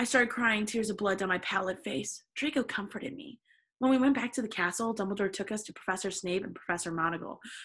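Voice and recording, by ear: Reading aloud in a natural voice, ordinary pitch variation, quiet background.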